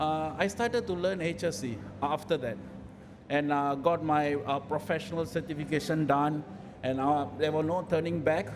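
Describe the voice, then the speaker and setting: With audible room echo, a man with a fairly high voice talks at a moderate pace and ordinary pitch variation. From raised in various countries. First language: not English. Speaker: health and safety professional, panel speaker. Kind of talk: panel talk at event. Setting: event hall with audience. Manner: hesitant, many fillers.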